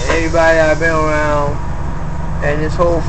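Moderate pace with noticeable background noise. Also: man. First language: not English (English is third language). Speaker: video blogger. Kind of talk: personal video log, ranting monologue. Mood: aggrieved, agitated. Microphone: phone near.

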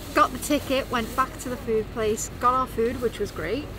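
A woman speaks at a moderate pace with ordinary pitch variation, in a dry sound with no echo and noticeable background noise. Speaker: travel vlogger. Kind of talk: casual vlog chat. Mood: relaxed, upbeat recounting. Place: bus. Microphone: phone near.

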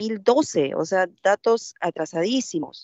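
The sound is dry with no echo, and the background is quiet. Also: woman. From Peruvian provinces, Andean region; Peru. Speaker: legislator. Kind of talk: parliamentary debate. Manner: halting. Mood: firm, argumentative. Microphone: video call.

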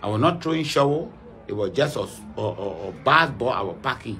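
Speech at a moderate pace over light background noise. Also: man. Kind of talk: interview answer. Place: home room. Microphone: phone near.

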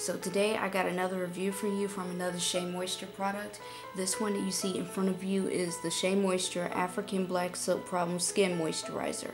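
Music plays behind a woman speaking at a fairly quick pace with hardly any pauses. Her intonation is monotone and flat. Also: medium pitch for a woman. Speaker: college student. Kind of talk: product review to camera. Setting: dorm room. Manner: whispered. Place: home room. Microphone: phone near.

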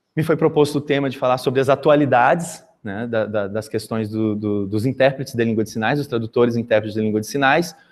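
Recorded very cleanly against a silent background, a man talks at a very fast pace with hardly any pauses. His voice is medium in pitch with ordinary pitch variation. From Brazil, Mato Grosso do Sul (Campo Grande). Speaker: sign language interpreter and teacher. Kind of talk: conference talk. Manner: halting, frequent repetitions.

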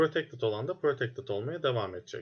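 At a moderate pace, a man talks over a quiet background. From Turkey. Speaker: programming instructor; student course instructor. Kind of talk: lecture. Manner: hesitant, many fillers.

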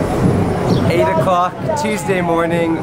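A man speaks over crowd noise in the background. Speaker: travel vlogger. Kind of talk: casual vlog chat. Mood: cheerful, upbeat. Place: street. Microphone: phone near.

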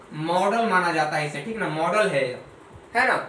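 A man speaks with a bright, sharp tone. Room echo is audible.

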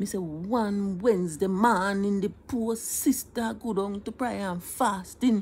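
A somewhat breathy woman in a Jamaican accent, fairly slow, with hardly any pauses and ordinary pitch variation. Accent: Jamaican Patois. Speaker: storyteller. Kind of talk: humorous storytelling. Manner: playful, conversational. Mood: animated, mock-tearful humor. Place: home room. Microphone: phone near.

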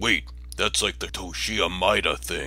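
A man performs in a put-on character voice. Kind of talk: comedic parody dub.

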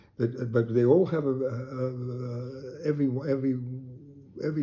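Somewhat breathy with a dark, mellow tone, a man talks at a fairly slow pace. His intonation stays fairly even. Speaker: sculptor. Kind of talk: casual chat. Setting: studio. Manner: halting.

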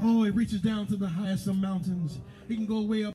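There is audible room echo around a man's voice. He talks at a fairly quick pace with ordinary pitch variation. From US South. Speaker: pastor. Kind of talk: sermon.

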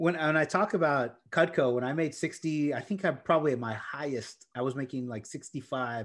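Speaking in an American accent, a man with a fairly high pitch keeps a moderate pace and ordinary pitch variation over a quiet background. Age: 40s. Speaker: real estate investor and tech sales executive; tech sales executive. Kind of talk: interview. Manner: enthusiastic. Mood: cheerful, enthusiastic. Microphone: video call.

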